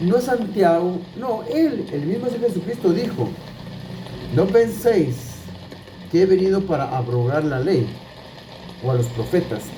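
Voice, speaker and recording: With very wide pitch swings and long, frequent pauses, a man speaks at a high pitch amid noticeable background noise and audible room echo. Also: fairly slow pace. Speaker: Bible teacher. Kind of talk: Bible teaching. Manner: repetitive, halting restarts.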